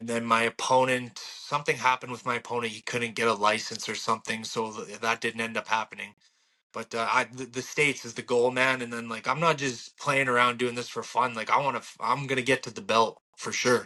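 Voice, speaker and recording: A man's medium-pitched voice with a Canadian accent, bright and sharp in tone, flat and monotone in intonation, at a fairly quick pace with hardly any pauses, big swings in loudness, and a quiet background. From Alberta, Canada. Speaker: bare-knuckle boxer. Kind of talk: interview.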